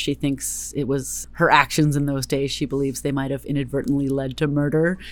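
Her voice is very deep and low for a woman, with a Californian accent. She keeps a moderate pace. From US West Coast, Berkeley, California. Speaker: novelist. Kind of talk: interview.

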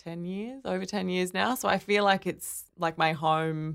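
A woman with an Australian accent at a fairly low pitch and a very slow pace, in a very clean recording with a silent background. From Australia, Brisbane. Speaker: artist and designer. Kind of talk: interview.

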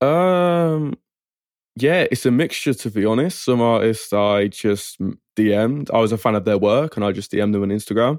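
Here a man speaks with an English accent and lively intonation. The recording is very clean, with a silent background. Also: medium pitch for a man, moderate pace. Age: 20s. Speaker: music producer. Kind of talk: interview.

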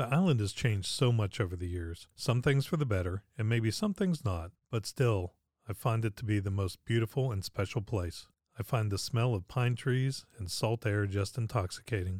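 A somewhat breathy man with an American accent, fairly low in pitch, with ordinary pitch variation at a moderate pace, on a very clean recording with a silent background and a dry, close sound with no echo. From Pittsburgh, Pennsylvania. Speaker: podcast host. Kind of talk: scripted narration.

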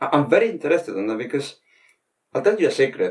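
The voice is a man's. It carries a Spanish accent. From Spain. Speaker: podcast host, veterinary professional. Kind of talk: interview conversation. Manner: halting.

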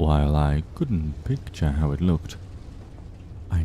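Very deep, low male voice at a moderate pace, fairly even intonation, over noticeable background noise. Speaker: podcast storyteller reading creepypastas. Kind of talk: horror story narration, reading aloud.

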